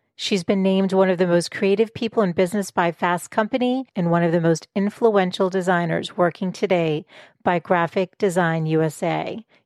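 A woman's medium-pitched, plain, everyday voice at a moderate pace with ordinary pitch variation, dry and close with no echo. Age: 40s. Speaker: podcast host. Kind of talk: interview.

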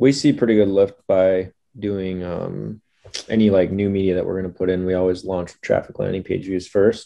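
With a very deep, low voice, a man speaks at a moderate pace, his intonation fairly even and his loudness swinging widely. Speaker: podcast host. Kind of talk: casual interview.

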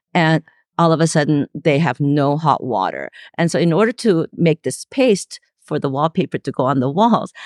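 Recorded with a dry, close sound and no echo, a woman speaks at a very deep, low pitch, with vocal fry and lively intonation. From Los Angeles, raised from age eight; born in South Korea. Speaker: installation artist and art teacher. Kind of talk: interview.

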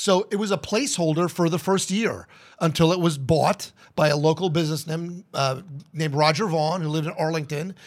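On a very clean recording with a silent background, a man with an American accent talks at a fairly quick pace in a high pitch with ordinary pitch variation. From New Jersey. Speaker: radio station owner. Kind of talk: casual chat.

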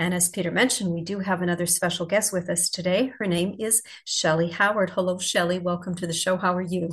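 A woman talks very fast with hardly any pauses, her medium-pitched voice somewhat breathy. The intonation is monotone and flat. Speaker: podcast co-host. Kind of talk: casual interview chat.

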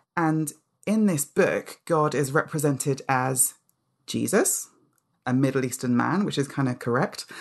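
A woman talks at a fairly slow pace with a very deep, low pitch. Her ordinary pitch variation comes across over a quiet background. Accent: London. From London, England (Nigerian-born). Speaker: author and charity public engagement head. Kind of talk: casual interview chat.

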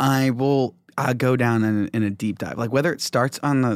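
In an ordinary speaking voice with ordinary pitch variation, the speaker talks at a moderate pace on a very clean recording with a silent background. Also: man. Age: 20s. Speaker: comedian. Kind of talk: casual chat.

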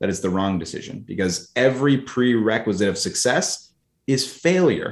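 On a very clean recording with a silent background, a man speaks with lively intonation. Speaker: marketing agency CEO and coach. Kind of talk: casual podcast interview. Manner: fast talker.

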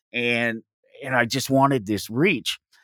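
With an American accent, a man talks at a fairly slow pace in a very clean recording with a silent background and a dry, close sound with no echo. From Denver, Colorado. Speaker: radio host and anarchist podcaster. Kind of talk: casual interview chat. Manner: halting, many repeated words and fillers.

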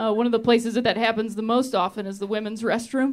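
Music plays in the background as someone talks with an American accent. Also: woman. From Ohio, US Midwest. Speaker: stand-up comedian. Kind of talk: stand-up. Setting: stage with audience.

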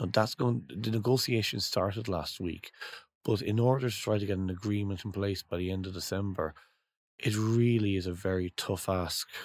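Someone with an Irish accent speaks at a moderate pace with ordinary pitch variation on a very clean recording with a silent background. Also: man, fairly low pitch for a man. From Ireland. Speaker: trade association executive. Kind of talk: interview.

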